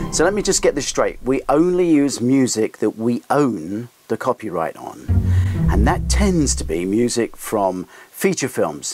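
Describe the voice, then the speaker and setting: A man speaks at a fairly slow pace. Faint music plays in the background. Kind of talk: casual explanatory talk to camera. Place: office.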